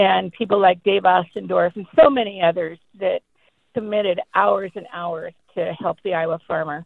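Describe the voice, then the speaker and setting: A woman speaks at a moderate pace in a medium pitch. She has an ordinary speaking voice. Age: 60s. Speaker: caller. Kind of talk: call-in testimony. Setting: phone call.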